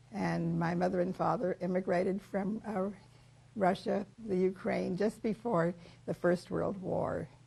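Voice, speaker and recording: With an American accent, a woman speaks fairly slowly at a medium pitch, her dark, mellow tone carrying vocal fry and fairly even intonation. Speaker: life-story interviewee. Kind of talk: oral history interview. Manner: halting, with many fillers.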